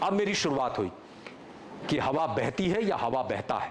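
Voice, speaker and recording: A man's pitch swings very widely while noticeable background noise carries on behind him. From Chhattisgarh, Ramanujganj near Bihar border. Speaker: actor. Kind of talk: motivational talk at workshop. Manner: animated storytelling.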